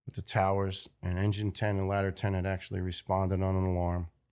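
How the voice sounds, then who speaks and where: On a very clean recording with a silent background, a man with a New York accent talks at a moderate pace and fairly low pitch. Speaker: retired firefighter. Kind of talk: interview testimony.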